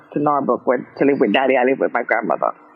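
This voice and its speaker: A woman speaks with fairly even intonation. Music plays in the background. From Jamaica, Kingston. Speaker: gospel singer. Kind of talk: interview. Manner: halting.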